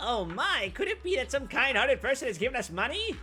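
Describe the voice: Over clear background noise, a put-on character voice rattles along at a very fast pace in a fairly high pitch.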